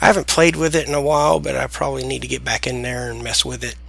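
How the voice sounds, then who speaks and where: Over noticeable background noise, someone with an American accent talks at a fairly quick pace. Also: man. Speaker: software tutorial creator. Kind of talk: tutorial. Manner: casual, hesitant with fillers.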